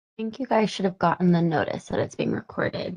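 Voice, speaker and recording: Her voice is fairly low for a woman, somewhat breathy, and dark and mellow in tone. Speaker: webinar host. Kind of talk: webinar introduction.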